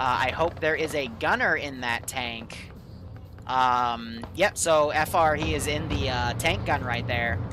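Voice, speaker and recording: A man speaks at a very slow pace while music plays behind him. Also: medium pitch for a man, ordinary pitch variation. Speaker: game master running a milsim operation. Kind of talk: military briefing and radio dispatch in a game. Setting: online game voice chat. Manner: clipped, brisk radio-style commands, casual and jokey between them.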